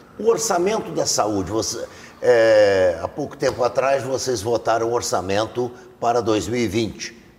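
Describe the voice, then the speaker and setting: Noticeable background noise behind a man at medium pitch, fairly slow pace and ordinary pitch variation. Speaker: TV interviewer. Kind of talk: TV interview. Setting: studio.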